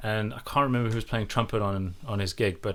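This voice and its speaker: A man's fairly low voice, bright and sharp in tone, at a fairly quick pace on a very clean recording with a silent background. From South Africa, mostly Eastern Cape. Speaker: sound engineer. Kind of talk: casual chat. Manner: animated storytelling.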